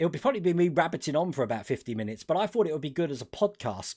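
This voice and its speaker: His tone comes across dark and mellow. This man rattles along at a very fast pace. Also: very clean recording, silent background. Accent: slight Cockney. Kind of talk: casual, conversational.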